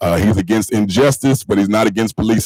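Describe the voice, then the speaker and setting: In an American accent, a man speaks at a fairly quick pace with ordinary pitch variation. The sound is dry and close with no echo. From North Carolina (Marshville). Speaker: school board member and pastor. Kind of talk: public meeting remarks. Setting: board meeting. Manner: fast when excited.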